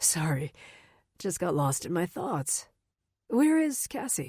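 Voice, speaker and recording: In a raspy, put-on character voice, a woman speaks fairly slowly at a fairly low pitch with very wide pitch swings, on a very clean recording with a silent background. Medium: read story. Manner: forced friendliness.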